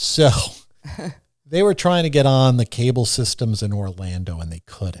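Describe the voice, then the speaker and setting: Pausing long and often, a man with a New York accent and medium pitch makes very wide pitch swings and big swings in loudness on a very clean recording with a silent background. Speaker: TV meteorologist. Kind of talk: podcast interview. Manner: fast; animated.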